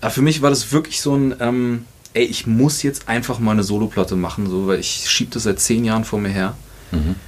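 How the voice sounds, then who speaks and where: A man with an unremarkable speaking voice, medium pitch and ordinary pitch variation talks at a fairly quick pace. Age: 30s. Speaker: musician and producer. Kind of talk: casual chat.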